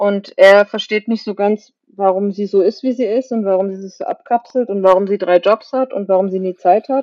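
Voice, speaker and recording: A woman speaks with an unremarkable speaking voice at medium pitch. Her intonation is fairly even and her pace moderate. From Germany, Kaiserslautern area (Palatinate). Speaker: novelist. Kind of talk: interview.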